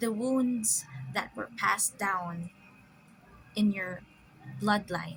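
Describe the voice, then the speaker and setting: Music plays behind a woman talking at a very slow pace, with long, frequent pauses. Her pitch is medium, with ordinary variation. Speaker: spiritual commentator. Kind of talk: casual spiritual musing to camera. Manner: halting, stammering, stop-start.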